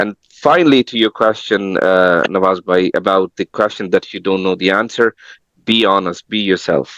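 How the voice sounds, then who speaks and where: A man with a non-native accent talks at a moderate pace in a fairly low pitch, with ordinary pitch variation. The recording is dry and close, with no echo. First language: not English. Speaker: tech professional giving career advice. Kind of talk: webinar panel talk. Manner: halting, repeats words.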